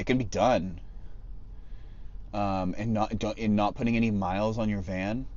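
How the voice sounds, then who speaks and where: A man with an American accent and a fairly low pitch speaks at a moderate pace, leaving long, frequent pauses. His intonation is fairly even, and there is audible room echo. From California central coast. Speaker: van life live streamer. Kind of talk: casual live stream chat. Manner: loud; halting, many fillers.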